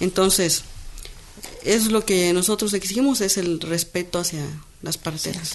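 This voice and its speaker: Noticeable background noise sits behind a woman of medium pitch. She talks at a fairly slow pace with long, frequent pauses and ordinary pitch variation. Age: young. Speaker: midwife and spokeswoman. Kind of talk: interview. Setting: radio studio.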